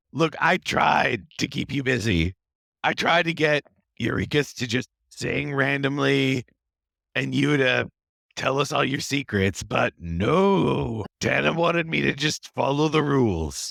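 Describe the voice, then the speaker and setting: A raspy, put-on character voice from a man, medium in pitch, fairly slow in pace and very even in loudness. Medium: actual play. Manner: enthusiastic, self-contradicting.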